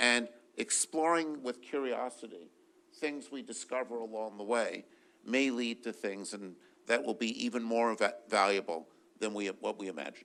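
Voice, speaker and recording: A man speaks loudly in a bright, sharp tone with ordinary pitch variation. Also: medium pitch for a man, moderate pace. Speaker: physicist and research funder. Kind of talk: panel discussion.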